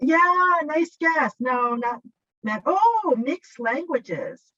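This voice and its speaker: With a Japanese accent, a woman speaks in a raised, projected voice at a high pitch and a very slow pace, her bright, sharp tone showing very wide pitch swings in a dry, close sound with no echo. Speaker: workshop presenter, teacher trainer. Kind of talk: workshop presentation. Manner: hesitant, with fillers.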